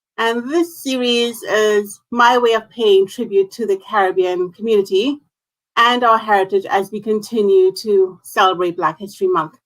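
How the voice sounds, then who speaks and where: Ordinary pitch variation runs through the speech. It is a plain, everyday voice. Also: woman, medium pitch for a woman, moderate pace. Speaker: talk show host. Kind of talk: online interview host.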